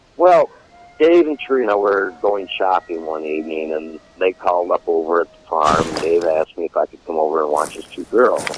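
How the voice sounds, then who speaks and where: A man with an American accent at a moderate pace, big swings in loudness, dry and close with no echo, over noticeable background noise. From Michigan, US. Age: 60s. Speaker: war veteran and mechanic. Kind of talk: interview testimony.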